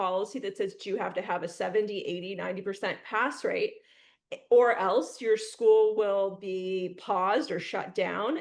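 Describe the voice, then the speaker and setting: Against a quiet background, a woman with an American accent and a plain, everyday voice talks at a moderate pace and fairly high pitch, with ordinary pitch variation. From Northeast Ohio. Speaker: podcast host. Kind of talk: podcast interview.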